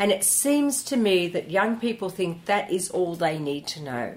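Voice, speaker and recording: At a fairly slow pace, a woman with a normal speaking voice talks with lively intonation. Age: 60s. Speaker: hairdressing educator. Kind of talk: interview conversation. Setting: studio.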